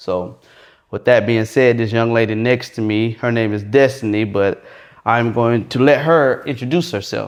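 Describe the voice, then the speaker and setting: A man with an American accent talks in an unremarkable speaking voice at a medium pitch, with ordinary pitch variation at a moderate pace against a quiet background. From Florida. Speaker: podcast host. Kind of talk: casual interview.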